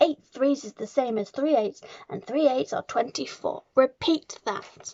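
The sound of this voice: A put-on character voice shouts at a fairly slow pace with ordinary pitch variation and vocal fry. The tone is dark and mellow, and the sound is dry and close with no echo. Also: woman, high pitch for a woman.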